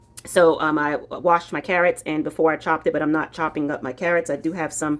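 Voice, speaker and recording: With an American accent, a woman talks very fast in a very deep, low voice. Music plays behind her. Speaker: cooking vlogger. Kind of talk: cooking tutorial. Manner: casual, chatty with fillers.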